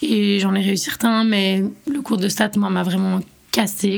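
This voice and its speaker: A woman speaks in an ordinary speaking voice at a fairly slow pace, her intonation fairly even. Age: 20s. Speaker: university student. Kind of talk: personal testimony.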